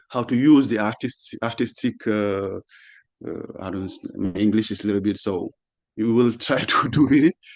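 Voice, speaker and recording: Speaking in a French accent, a man uses a medium pitch with ordinary variation. His pace is moderate. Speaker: panelist, artist and activist. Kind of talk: panel discussion. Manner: halting, many repetitions.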